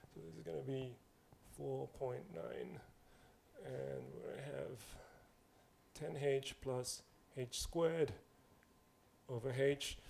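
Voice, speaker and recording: Speaking with a non-native accent, a man goes at a very slow pace. He leaves long, frequent pauses. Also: big swings in loudness. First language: not English. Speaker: mathematics lecturer. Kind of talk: lecture. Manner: casual, conversational.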